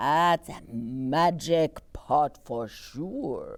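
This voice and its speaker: At a middle pitch, the speaker performs in a put-on character voice. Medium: read story.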